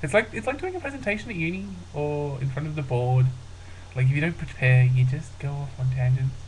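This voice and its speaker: The man's pitch sits fairly high. Noticeable background noise and audible room echo fill the recording. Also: ordinary pitch variation, fairly quick pace. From rural Australia. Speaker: vlogger. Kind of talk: casual vlog monologue. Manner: hesitant, many fillers.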